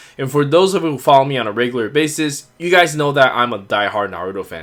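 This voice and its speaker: A man with a non-native accent, fairly high in pitch and bright, sharp in tone, at a very fast pace with lively intonation. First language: not English. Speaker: toy figure reviewer. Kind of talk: product review. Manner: casual with frequent fillers.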